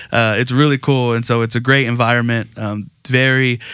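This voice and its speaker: A man with fairly even intonation on a very clean recording with a silent background. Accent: Texan. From Texas Gulf Coast. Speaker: pastor. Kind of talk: casual interview.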